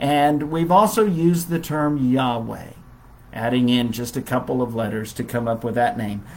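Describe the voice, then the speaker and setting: A man's normal speaking voice, lively in intonation, at a moderate pace. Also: medium pitch for a man. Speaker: Bible class teacher. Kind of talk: Bible lesson. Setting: Facebook live stream.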